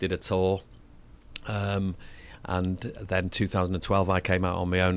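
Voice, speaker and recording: Fairly even intonation in a Mancunian accent, on a very clean recording with a silent background. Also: man. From northern England. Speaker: singer. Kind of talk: interview. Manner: fast talker.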